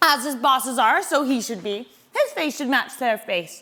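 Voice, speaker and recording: This woman puts on a character voice pitched high. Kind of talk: comic stage acting. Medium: stage play.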